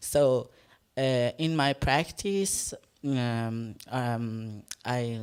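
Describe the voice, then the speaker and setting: A woman speaks with an Iranian accent. Her pitch is very deep and low. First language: Farsi. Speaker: performance artist. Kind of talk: panel discussion. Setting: stage with live audience. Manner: halting.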